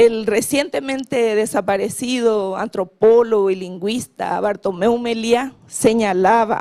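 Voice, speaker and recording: At a very slow pace, a woman speaks with a fairly high pitch and a dark, mellow tone. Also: ordinary pitch variation. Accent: Paraguayan. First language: Guarani (speaking Spanish). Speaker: government official on language policy. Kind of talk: conference panel talk. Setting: conference panel.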